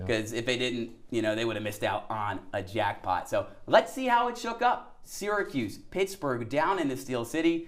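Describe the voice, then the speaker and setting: With an American accent and an energetic tone, a man of medium pitch talks at a moderate pace with hardly any pauses and very wide pitch swings, over noticeable background noise. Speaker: TV sports reporter and anchor. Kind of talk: sports anchor block, conversational banter with co-anchor. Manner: conversational, energetic.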